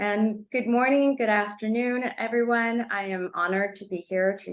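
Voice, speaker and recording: Speaking in a Spanish accent, a woman keeps a fairly slow pace. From Los Angeles, Cuban immigrant family. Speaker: attorney presenter. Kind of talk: webinar presentation. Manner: halting, many fillers.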